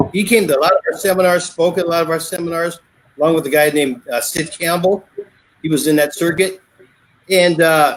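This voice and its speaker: With an American accent, a man talks at a fairly quick pace and a high pitch. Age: 60s. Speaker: martial arts instructor. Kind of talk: casual interview.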